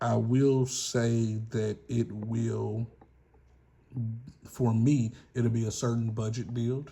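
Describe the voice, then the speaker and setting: A man with a Southern US accent speaks at a very slow pace with long, frequent pauses. His medium-pitched voice is somewhat breathy, dark and mellow, with flat, monotone intonation. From US South. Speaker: gun channel YouTuber. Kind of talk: casual vlog monologue. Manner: rambling, casual.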